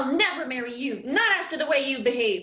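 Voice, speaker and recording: A woman in a put-on character voice rattles along at a very fast pace with a high pitch, very wide pitch swings and slight echo. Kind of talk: melodrama heroine acting. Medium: stage play.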